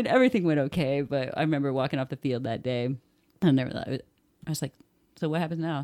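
With a Midwestern American accent, a woman's very deep, low voice carries a dark, mellow tone and ordinary pitch variation, racing at a very fast pace between long, frequent pauses in a dry, close sound with no echo. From Indiana, US. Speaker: soccer writer. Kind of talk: casual chat.

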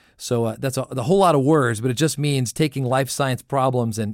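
In a very clean recording with a silent background, a man with an American accent and an ordinary speaking voice talks at a fairly quick pace and medium pitch, with ordinary pitch variation. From US Southwest (southern New Mexico). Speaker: analytics industry director, former government official. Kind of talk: radio interview.

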